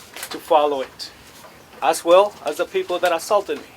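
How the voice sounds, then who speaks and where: Noticeable background noise sits under a man's voice. He has a high pitch, a moderate pace and fairly even intonation. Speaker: school board candidate. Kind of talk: press conference statement. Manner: soft-spoken.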